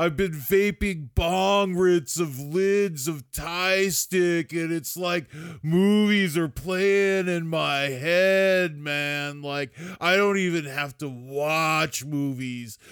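Using a put-on character voice pitched high, a man speaks very slowly in a very clean recording with a silent background. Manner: lazy, drawling.

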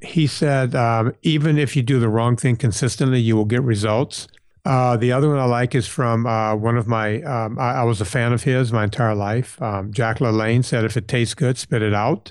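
A man with an American accent speaks in an ordinary speaking voice at medium pitch and a moderate pace, with ordinary pitch variation, very even loudness and hardly any pauses over a quiet background. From US South, southern Louisiana. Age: 50s. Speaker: personal trainer and podcast host. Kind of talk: interview.

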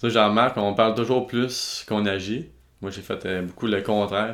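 A man talks at a fairly quick pace with a Quebec accent. His pitch is fairly low and his intonation fairly even. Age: 20s. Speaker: videographer and entrepreneur. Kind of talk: interview. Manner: halting.

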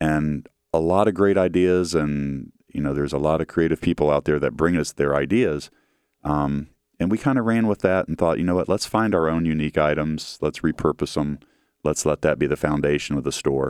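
Someone speaks with a Midwestern American accent and ordinary pitch variation in a very clean recording with a silent background. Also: man, very deep, low pitch for a man. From Central Ohio, Grandview. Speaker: metalwork business executive. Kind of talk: interview.

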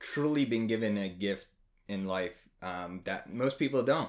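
A man with an American accent speaks at a fairly slow pace in a plain, everyday voice, his pitch medium. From New Jersey, near Trenton. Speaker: after-school program coordinator. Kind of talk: casual chat. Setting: home next to fireplace.

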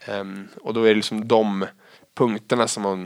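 A man speaks at a moderate pace in a fairly low, monotone, flat voice. The sound is dry and close, with no echo. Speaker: head of sales in recruitment. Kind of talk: interview conversation.

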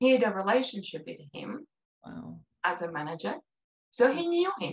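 A woman's fairly high voice with vocal fry and an American accent, dry and close with no echo. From outside the US. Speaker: writer and blogger. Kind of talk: testimony.

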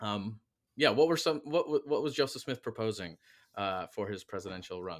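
A man speaks in a normal speaking voice with an American accent, fairly low in pitch, at a moderate pace with lively intonation. The recording is very clean with a silent background and a dry, close sound with no echo. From Michigan. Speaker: history professor and podcast host. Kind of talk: interview.

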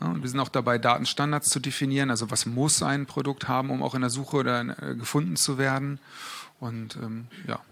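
This is an unremarkable speaking voice. It moves at a fairly quick pace with ordinary pitch variation. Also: man, medium pitch for a man. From Berlin, Germany. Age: 30s. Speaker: e-commerce product manager. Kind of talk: live interview on stage.

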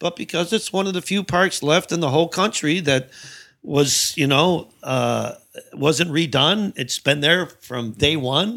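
On a very clean recording with a silent background, a man with an American accent speaks at a fairly slow pace. His fairly high pitch carries a bright, sharp tone and ordinary pitch variation. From Chicago South Side. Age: 50s. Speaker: stand-up comedian. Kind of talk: casual chat.

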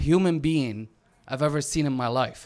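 A man speaks with an Arabic accent and ordinary pitch variation. The recording is very clean, with a silent background. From Syria, Damascus. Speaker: author and activist. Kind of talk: story reading to live audience. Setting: stage with audience. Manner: halting, self-interrupting.

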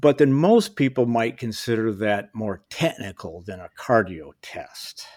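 An ordinary speaking voice from a man with an American accent, medium pitch and lively intonation. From US Midwest (Kalamazoo, Michigan). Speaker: ultrarunner and outdoor industry veteran. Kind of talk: casual chat.

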